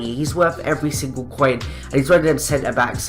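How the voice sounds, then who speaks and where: Moderate pace and ordinary pitch variation over background music. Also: man. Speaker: gaming YouTuber. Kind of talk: video game commentary.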